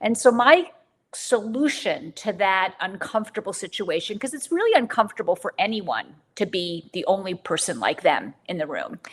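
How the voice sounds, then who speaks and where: In an ordinary speaking voice, a woman of medium pitch talks at a moderate pace with lively intonation. Her loudness swings a lot. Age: 60s. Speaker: physician scientist and author. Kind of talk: interview.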